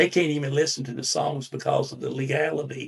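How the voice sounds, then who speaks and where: This is a man speaking. He has a North Carolina accent. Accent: Southern US (North Carolina). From US South, Winston-Salem, North Carolina. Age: 70s. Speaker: songwriter. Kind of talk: interview. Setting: studio.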